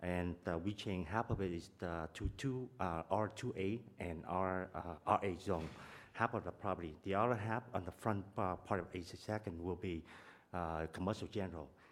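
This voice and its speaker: The pitch shifts in an ordinary way. This man's voice is very deep and low. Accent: Vietnamese. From Vietnam. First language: Vietnamese. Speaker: property owner, engineer. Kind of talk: public testimony. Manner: fast; halting.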